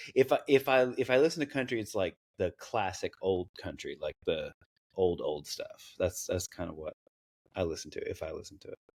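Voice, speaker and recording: The speaker has a slight Southern US accent and a moderate pace. Loudness swings widely, and the sound is dry and close with no echo. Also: man. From US South, East Tennessee (Knoxville). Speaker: content creator. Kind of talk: interview. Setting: podcast interview. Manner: halting.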